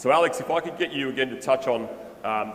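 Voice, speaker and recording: With an Australian accent, a man talks at a moderate pace over noticeable background noise. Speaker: music NFT project founder. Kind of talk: conference presentation.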